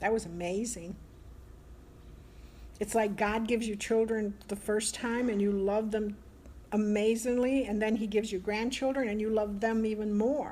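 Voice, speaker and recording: Dark and mellow, a woman's fairly high voice holds a monotone, flat intonation. She moves at a moderate pace with long, frequent pauses. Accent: American. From Italy, living in the US. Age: 60s. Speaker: grandmother and Italian immigrant. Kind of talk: casual conversation, interview answer. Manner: candid, warm, talkative.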